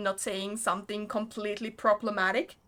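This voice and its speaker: Speaking with a non-native accent, a woman has a fairly high pitch. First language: not English. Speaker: game streamer. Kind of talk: casual chat while livestreaming a game.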